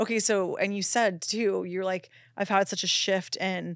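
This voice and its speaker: Over a silent background on a very clean recording, a woman speaks in a medium-pitched, monotone, flat voice. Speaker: podcast host, intuitive medium. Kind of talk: casual chat. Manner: fast talker.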